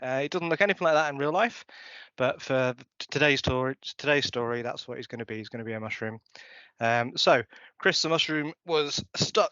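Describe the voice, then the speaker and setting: There is a man speaking at a fairly quick pace. His medium pitch has ordinary variation. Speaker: conference speaker. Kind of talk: conference talk. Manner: fast.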